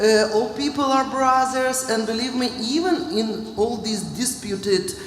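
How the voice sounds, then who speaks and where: Through noticeable background noise and audible room echo, a woman speaks at a fairly slow pace, fairly high in pitch with lively intonation. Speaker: finance official. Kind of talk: panel discussion. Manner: halting.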